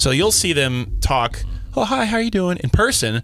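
Over background music, a man speaks in an animated tone with very wide pitch swings. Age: 20s. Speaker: radio station staffer. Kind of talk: casual panel chat. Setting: studio.

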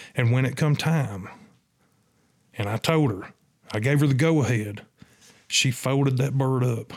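A man with a Southern US accent speaks with long, frequent pauses. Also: medium pitch for a man, ordinary pitch variation, moderate pace. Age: 50s. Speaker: turkey hunter and hunting guide. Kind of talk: casual interview storytelling. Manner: animated.

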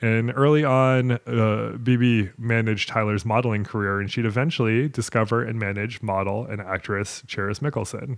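A man speaks at a moderate pace in a plain, everyday voice with medium pitch and fairly even intonation on a very clean recording with a silent background. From Maine, US. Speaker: podcast host. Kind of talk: casual interview chat.

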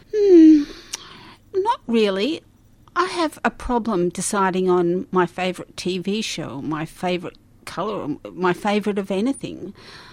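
In an Australian accent, a woman speaks at a fairly slow pace. Her pitch is medium, with very wide pitch swings. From Melbourne, Australia. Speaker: retired primary school teacher. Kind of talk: interview.

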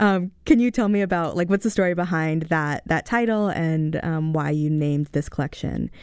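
A woman speaks at a moderate pace in a fairly low pitch, with ordinary pitch variation. The recording is very clean, with a silent background. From US, Mexican-American family. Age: 20s. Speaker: radio host. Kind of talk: radio interview. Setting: radio studio. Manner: halting.

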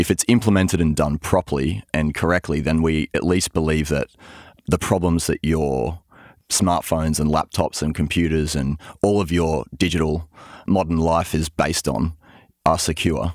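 With an Australian accent, a man talks at a moderate pace in a very deep, low voice with vocal fry and fairly even intonation, recorded very cleanly against a silent background with a dry, close sound and no echo. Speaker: cryptography researcher. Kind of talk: interview, explanatory chat.

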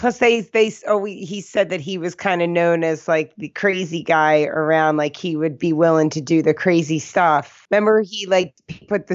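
A woman with a US East Coast accent speaks in a fairly low pitch, her intonation fairly even. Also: hardly any pauses. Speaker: podcast co-host. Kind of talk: casual chat.

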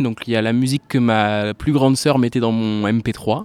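This is a normal speaking voice at a fairly slow pace with fairly even intonation. The sound is dry and close with no echo, on a very clean recording with a silent background. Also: man. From France, La Rochelle. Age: 20s. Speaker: singer-songwriter. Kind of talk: interview.

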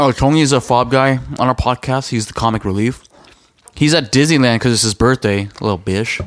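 A man talks at a fairly quick pace in a medium pitch. It is a normal speaking voice with ordinary pitch variation. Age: 30s. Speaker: podcast co-host. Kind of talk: casual chat.

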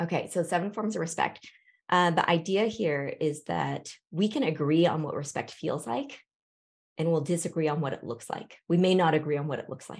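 Speaking at a moderate pace with a West Coast accent, a woman uses lively intonation. Her pitch is fairly low. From Seattle, US Pacific Northwest. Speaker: historian and author. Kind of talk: interview.

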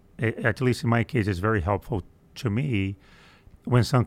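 This man speaks with a Portuguese accent and a fairly low pitch. His pace is moderate and his intonation fairly even. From Brazil. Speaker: aerospace engineering executive. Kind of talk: interview. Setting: studio.

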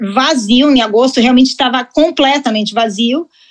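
A woman speaks in a high pitch. Her pitch variation is ordinary. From Mexico. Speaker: luxury travel business owner. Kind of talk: casual interview.

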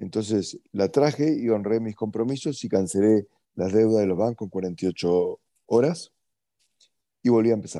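A man with a dark, mellow tone and fairly low pitch speaks at a fairly slow pace with ordinary pitch variation. The sound is dry and close with no echo against a quiet background. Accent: Uruguayan. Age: 40s. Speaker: entrepreneur. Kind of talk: interview.

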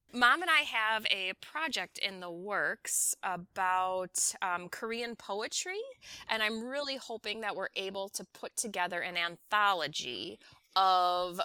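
A woman speaks at a fairly slow pace in a medium pitch, her bright, sharp tone carrying lively intonation over a dry, close sound with no echo. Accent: American. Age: 40s. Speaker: English teacher and author. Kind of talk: casual interview chat. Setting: remote call.

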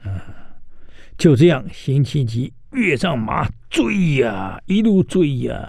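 At a very slow pace, a man with a medium pitch and vocal fry swings his pitch very widely, pausing long and often. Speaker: radio history show host. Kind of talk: radio storytelling lecture. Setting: radio studio. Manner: animated, many filler particles.

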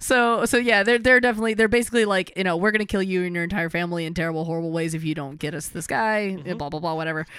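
Speaking at a very fast pace, a woman uses a fairly low pitch. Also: ordinary pitch variation. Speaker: comic book podcast co-host. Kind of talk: casual chat.

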